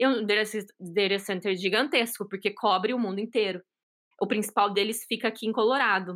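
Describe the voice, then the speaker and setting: A woman speaks in an animated, enthusiastic tone at a fairly quick pace and a fairly high pitch. Her loudness stays very even in a very clean recording with a silent background. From São Paulo, Brazil. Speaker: solutions engineer. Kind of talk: casual interview chat.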